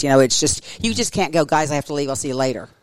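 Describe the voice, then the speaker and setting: Here a woman speaks with an American accent. The recording is very clean, with a silent background. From Oklahoma, Tulsa. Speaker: schoolteacher. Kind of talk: interview conversation.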